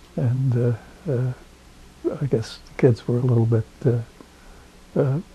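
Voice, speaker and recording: A man's speech is fairly slow and fairly even in intonation, with noticeable background noise behind it. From Rhode Island. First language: not English. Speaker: oral history interviewee. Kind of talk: oral history interview. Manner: halting, many fillers.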